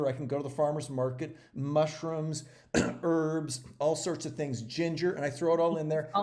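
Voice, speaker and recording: With a fairly high pitch and a dark, mellow tone, a man speaks at a moderate pace and fairly even intonation amid audible room echo. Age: 60s. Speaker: regenerative agriculture entrepreneur and activist. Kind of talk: interview. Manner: halting, many repetitions and fillers.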